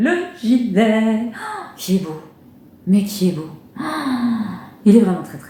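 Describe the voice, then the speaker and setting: A woman speaks with a fairly high pitch and lively intonation, taking long, frequent pauses as her loudness swings widely, with noticeable background noise and audible room echo. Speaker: knitting and sewing podcaster. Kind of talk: casual vlog chat. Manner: fast; hesitant, many fillers.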